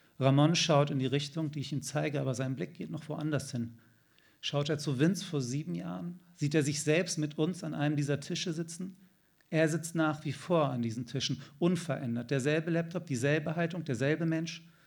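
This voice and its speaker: A man with a fairly high pitch and ordinary pitch variation talks at a moderate pace amid audible room echo. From Germany, Hanover. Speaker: novelist. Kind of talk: reading aloud. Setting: stage with audience.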